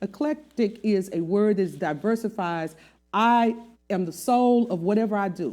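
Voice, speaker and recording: With a dark, mellow tone, a woman talks at a fairly slow pace and varies her pitch in an ordinary way. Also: medium pitch for a woman, very clean recording, silent background. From US South. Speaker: singer. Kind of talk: interview. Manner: animated.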